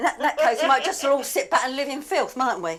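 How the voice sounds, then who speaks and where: Her high voice, in an English accent, moves at a fairly quick pace with an animated tone and lively intonation. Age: 70s. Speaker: obsessive cleaner. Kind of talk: interview to camera; reality TV conversation.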